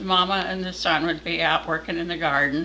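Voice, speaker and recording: Noticeable background noise sits behind a woman speaking with a Texas accent. Her medium-pitched voice moves at a moderate pace with ordinary pitch variation. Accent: Texas Southern US. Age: 80s+. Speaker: storyteller. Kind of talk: storytelling.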